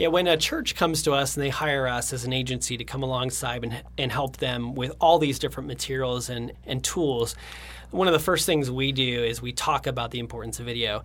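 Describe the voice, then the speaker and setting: A man talks at a fairly quick pace with vocal fry. His pitch is medium and his intonation fairly even. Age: 30s. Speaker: creative director at a design agency. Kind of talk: interview.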